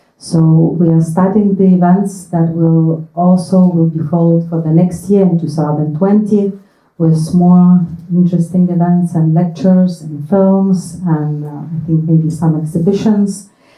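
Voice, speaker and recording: Fairly low in pitch, a woman speaks in a somewhat breathy voice with a dark, mellow tone. Her delivery is fairly slow and monotone, with flat intonation. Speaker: diplomat. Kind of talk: event introduction.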